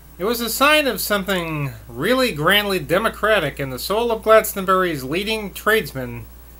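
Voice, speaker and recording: A man with a high pitch projects a raised voice with a bright, sharp tone. He talks at a moderate pace with lively intonation and hardly any pauses. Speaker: reader of a novel. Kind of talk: audiobook reading of a novel. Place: home room. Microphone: webcam.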